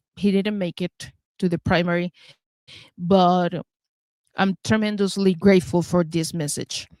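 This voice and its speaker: Recorded dry and close with no echo, a woman with a Venezuelan accent speaks at a medium pitch with fairly even intonation. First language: Spanish. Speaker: talk show host. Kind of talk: interview show introduction. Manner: halting.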